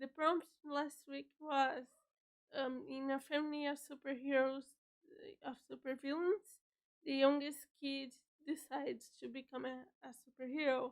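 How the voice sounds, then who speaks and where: Her high voice stays monotone and flat, at a fairly slow pace with long, frequent pauses. The woman's loudness swings widely. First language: Portuguese. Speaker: writer streamer. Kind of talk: casual chat. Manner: halting.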